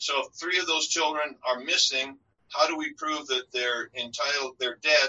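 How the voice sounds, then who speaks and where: A man's American accent comes through as he talks at a fairly slow pace. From US, North Dakota. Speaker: estate lawyer. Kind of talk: podcast interview.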